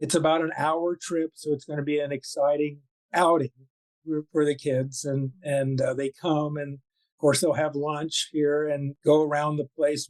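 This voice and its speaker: A man with an American accent talks at a fairly high pitch in a monotone, flat intonation. The sound is dry and close, with no echo. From Florida. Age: 70s. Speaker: violinist. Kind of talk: interview. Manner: halting.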